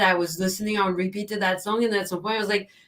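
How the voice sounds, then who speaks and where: A woman talking very fast with a non-native accent, amid noticeable background noise. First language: not English. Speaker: vegan activist. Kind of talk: casual chat.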